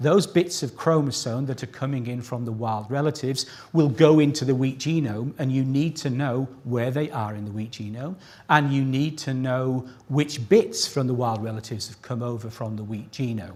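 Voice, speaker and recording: This man's loudness swings widely. His voice is somewhat breathy. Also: medium pitch for a man, ordinary pitch variation, moderate pace. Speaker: plant scientist giving award citation. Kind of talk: ceremony speech. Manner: pitch rises when excited.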